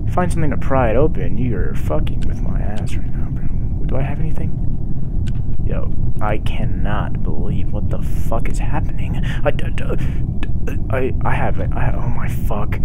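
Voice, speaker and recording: A man's speech comes at a moderate pace through loud background noise. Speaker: gamer. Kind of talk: gaming commentary. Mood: frustrated, swearing. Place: home room. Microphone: headset.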